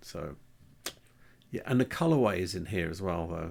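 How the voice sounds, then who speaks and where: A soft-spoken man talks with a very deep, low pitch. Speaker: antiques YouTuber. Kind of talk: casual video commentary. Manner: halting.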